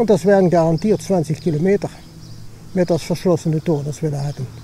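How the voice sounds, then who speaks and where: A man with a high voice talks at a fairly quick clip, his pitch rising and falling in the usual way over noticeable background noise. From Dutch-German border, Limburg. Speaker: hiking vlogger. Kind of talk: casual vlog narration while walking. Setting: outdoors, hiking. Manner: casual, searching for words.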